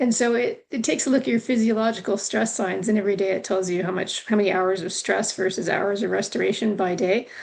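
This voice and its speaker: With a Canadian accent, a woman talks at a very fast pace with hardly any pauses, using a medium pitch, ordinary pitch variation and vocal fry. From Canada. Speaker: returning guest. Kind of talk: casual chat.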